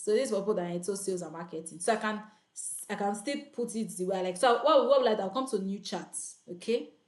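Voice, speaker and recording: The speech comes at a very fast pace with ordinary pitch variation. Audible room echo surrounds it. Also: woman. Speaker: online freelancing coach. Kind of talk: live tutorial. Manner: loud; animated.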